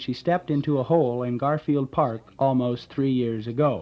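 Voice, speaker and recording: With fairly even intonation and a medium pitch, a man talks at a moderate pace in an ordinary speaking voice. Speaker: radio announcer auditioning for a local station. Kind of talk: local radio news reading.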